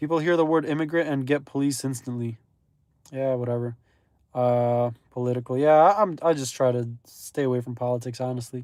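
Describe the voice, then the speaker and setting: A man with a plain, everyday voice talks at a fairly quick pace. His pitch is medium, with ordinary pitch variation. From Belarus, moved to US at age 3. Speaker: gig delivery driver streamer. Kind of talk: casual live stream chat.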